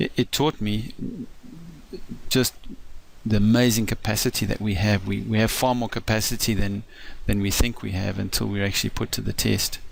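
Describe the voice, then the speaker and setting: The speaker has a South African accent and a fairly even intonation. The pace is moderate, broken by long, frequent pauses. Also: man, fairly low pitch for a man. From South Africa, east coast. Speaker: financial advisor. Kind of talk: personal introduction talk. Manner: halting, many fillers.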